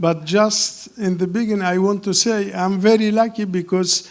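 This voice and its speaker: At a fairly slow pace, the speaker talks with a non-native accent and fairly even intonation. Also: man. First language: not English. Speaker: film director. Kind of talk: Q&A interview. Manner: halting.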